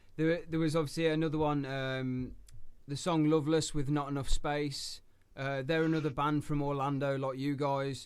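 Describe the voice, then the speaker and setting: In an English accent, a man speaks at a moderate pace with a fairly high pitch and monotone, flat intonation, and audible room echo. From England. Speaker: radio host. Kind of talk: interview.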